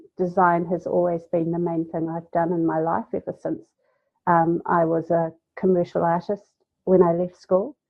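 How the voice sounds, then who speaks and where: A woman speaks in a New Zealand accent at a moderate pace. Her pitch is fairly low. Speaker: graphic designer. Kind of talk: podcast interview.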